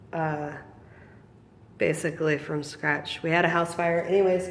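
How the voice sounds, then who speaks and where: A woman speaks in a fairly low voice with flat, monotone intonation. Room echo can be heard. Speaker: small business owner selling feeder insects. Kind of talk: casual vlog. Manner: hesitant, many ums.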